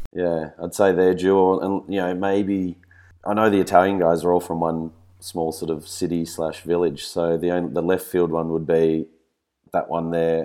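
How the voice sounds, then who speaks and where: Over a silent background in a very clean recording, a man with a very deep, low pitch and a dark, mellow tone speaks at a moderate pace in an Australian accent with monotone, flat intonation. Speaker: fistball player and co-host. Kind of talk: casual chat.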